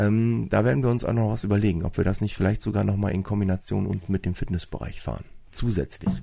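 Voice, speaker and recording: A man's fairly low, dark, mellow voice at a very fast pace, with ordinary pitch variation. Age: 40s. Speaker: fitness club owner and sports teacher. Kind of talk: casual interview. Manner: hesitant with many fillers.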